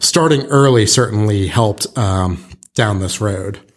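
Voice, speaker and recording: A somewhat breathy male voice. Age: middle-aged. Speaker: real estate broker and podcast host. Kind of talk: casual podcast chat.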